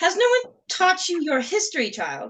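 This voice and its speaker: A woman's put-on character voice, squeaky and extremely high-pitched, with very wide pitch swings at a moderate pace. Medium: actual play. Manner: grave, formal.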